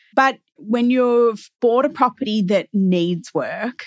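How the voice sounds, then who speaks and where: This woman talks in an Australian accent with ordinary pitch variation. The background is quiet. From Melbourne, Australia. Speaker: real estate agent podcast co-host. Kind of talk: casual chat.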